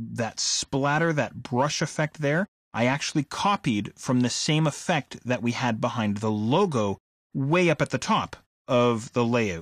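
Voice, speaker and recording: A man uses an ordinary speaking voice at a medium pitch with lively intonation. The recording is very clean, silent in the background, and dry and close with no echo. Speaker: software instructor. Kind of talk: tutorial.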